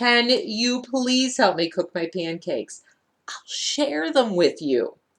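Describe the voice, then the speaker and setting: A woman speaks at a fairly slow pace in a put-on character voice. Her pitch sits high. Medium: read story. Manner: polite, soft-spoken.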